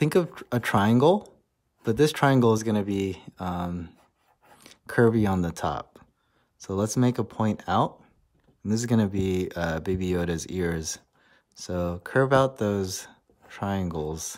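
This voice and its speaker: In a very clean recording with a silent background, a man speaks fairly slowly with ordinary pitch variation and long, frequent pauses. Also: fairly low pitch for a man. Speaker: art teacher. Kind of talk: drawing tutorial. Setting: art studio.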